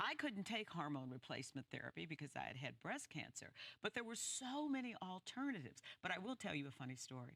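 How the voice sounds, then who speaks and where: A woman with vocal fry speaks very fast at a fairly low pitch, her voice swinging very widely in pitch. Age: 70s. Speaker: talk show panelist. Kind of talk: casual chat.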